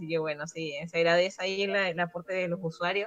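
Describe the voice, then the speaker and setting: Noticeable background noise accompanies a woman talking at a fairly quick pace. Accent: Chilean. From Chile. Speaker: gaming writer. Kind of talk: casual chat.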